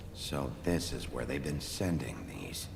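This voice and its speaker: A man puts on a character voice at a fairly slow pace over loud background noise. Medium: video game. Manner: terse, gruff.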